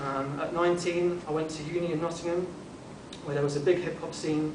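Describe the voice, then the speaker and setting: A man with a southern English accent talks at a fairly quick pace in a monotone, flat way. Noticeable background noise and audible room echo fill the recording. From southern England (St Albans, Hertfordshire). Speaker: former DJ, convert speaker. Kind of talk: talk to an audience. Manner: hesitant, many fillers.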